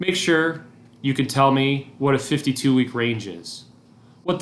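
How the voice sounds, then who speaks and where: With a medium pitch, a man speaks at a fairly slow pace. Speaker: teacher. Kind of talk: recorded lesson. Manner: monotone.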